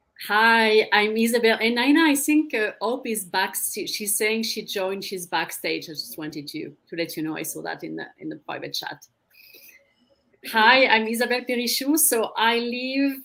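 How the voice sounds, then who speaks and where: In a French accent, a woman speaks at a moderate pace with a fairly high pitch and a bright, sharp tone, her loudness swinging widely. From France. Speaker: career coach. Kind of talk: panel self-introduction.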